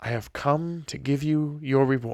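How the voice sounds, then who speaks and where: A man uses a put-on character voice, fairly high in pitch, speaking at a fairly slow pace with fairly even intonation. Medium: read story. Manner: solemn, stately.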